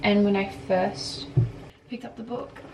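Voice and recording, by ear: A woman talks at a fairly slow pace, her medium pitch held in fairly even intonation. Her voice has a slightly husky edge and a slightly mellow tone.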